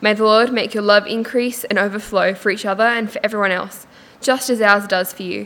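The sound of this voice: Her voice sits at a medium pitch with a fairly bright tone. The woman keeps a moderate pace and ordinary pitch variation.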